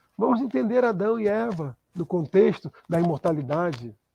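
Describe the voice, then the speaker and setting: A man with a high voice, a dark, mellow tone and lively intonation, recorded with a dry, close sound and no echo. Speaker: spiritist lecturer. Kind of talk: lecture.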